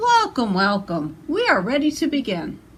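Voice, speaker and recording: This put-on character voice moves through very wide pitch swings. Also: woman, high pitch for a woman, moderate pace. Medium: read story.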